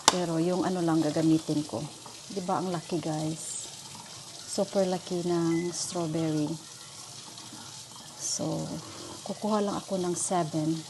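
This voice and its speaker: Long, frequent pauses break up fairly slow speech, with noticeable background noise behind it. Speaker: caregiver vlogger. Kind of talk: casual vlog tutorial.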